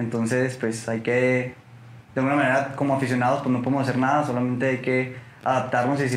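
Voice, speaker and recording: Over noticeable background noise and audible room echo, a man talks very fast in a flat monotone. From Mexico, Torreón (La Laguna). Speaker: football fan. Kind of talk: casual chat. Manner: halting.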